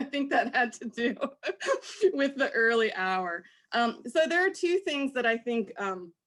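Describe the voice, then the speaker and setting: Loud and high-pitched, a woman speaks at a fairly slow pace with very wide pitch swings on a very clean recording with a silent background. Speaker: professor. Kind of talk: panel discussion. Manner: loud, projecting; animated.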